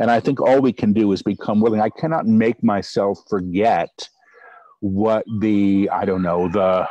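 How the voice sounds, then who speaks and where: A man talks fairly slowly in a fairly low pitch with a dark, mellow tone, ordinary pitch variation and very even loudness. The sound is dry with no echo against a quiet background. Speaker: channeler. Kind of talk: interview answer. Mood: relaxed, reflective. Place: garden. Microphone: video call.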